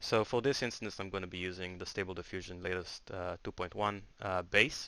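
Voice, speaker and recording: On a very clean recording with a silent background, a man with a very deep, low pitch and a bright, sharp tone talks at a fairly quick pace with fairly even intonation. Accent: non-native. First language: not English. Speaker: software tool developer. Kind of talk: tutorial. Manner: hesitant, many filler sounds.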